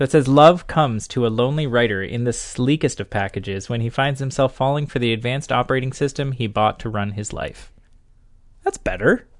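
Against a quiet background, a man with an unremarkable speaking voice talks at a medium pitch and a fairly quick pace. His pitch varies in an ordinary way. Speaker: podcast host. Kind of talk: casual podcast chat about movies.

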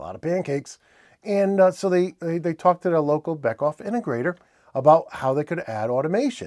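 Speaking very fast in a New England accent, a man with a fairly high pitch and lively intonation comes through on a very clean recording with a silent background. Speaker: industrial automation news presenter. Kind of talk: news roundup, solo presentation. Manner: casual, friendly, with filler words.

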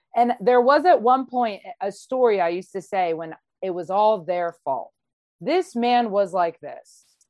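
A woman of medium pitch talks at a fairly slow pace in an unremarkable speaking voice. Her intonation is lively and her loudness swings widely. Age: 30s. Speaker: online series host. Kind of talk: casual interview chat.

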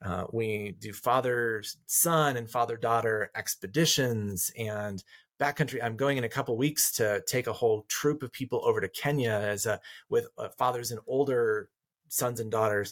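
At a moderate pace, a man talks in a normal speaking voice of medium pitch. The recording is very clean and dry, close with no echo, over a silent background. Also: ordinary pitch variation. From rural Colorado. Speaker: counselor and author. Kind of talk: interview conversation.

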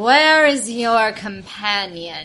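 A booming, female-sounding put-on character voice, fairly high in pitch. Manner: commanding, ominous.

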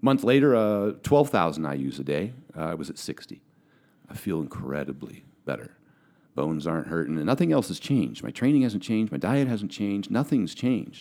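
A dark, mellow tone shows vocal fry. Pitch swings very widely at a fairly quick pace. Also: man, fairly low pitch for a man. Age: 40s. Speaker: professional bodybuilder and powerlifter. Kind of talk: casual chat. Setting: studio.

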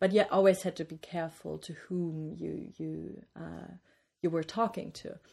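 Fairly slow speech with a German accent and big swings in loudness. The recording is very clean, with a silent background. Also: woman. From East Germany, small city near Bavarian border. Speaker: interview guest, East German-born academic. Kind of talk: interview. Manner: hesitant, many fillers.

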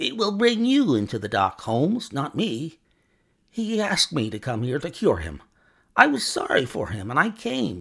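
A man's put-on character voice, growling and fairly high, with very wide pitch swings at a moderate pace, on a very clean recording over a silent background. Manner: snarling, bitter, defiant.

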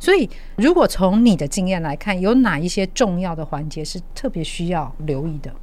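Over audible room echo, a woman speaks at medium pitch and a moderate pace, with lively intonation and big swings in loudness. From Taiwan. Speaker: podcast host. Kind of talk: interview.

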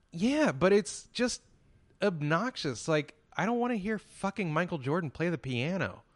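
Against a quiet background, a high-pitched man with an American accent talks at a moderate pace, his pitch swinging very widely. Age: 30s. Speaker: podcast host. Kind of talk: casual chat.

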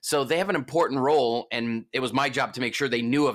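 In a very clean recording with a silent background, a man speaks at a very fast pace in an animated tone with ordinary pitch variation. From US East Coast. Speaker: hype man and entertainer. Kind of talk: interview.

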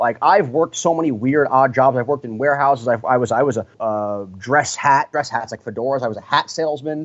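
Here is a man with a plain, everyday voice. He talks at a fairly quick pace. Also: medium pitch for a man, ordinary pitch variation. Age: 20s. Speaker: professional mascot performer. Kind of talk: interview.

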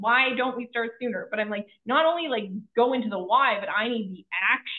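Delivered at a middling speed, the speech shows ordinary rises and falls in pitch. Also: woman. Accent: Western Canadian. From Canada, Kelowna BC. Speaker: financial advisor and author. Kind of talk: interview.

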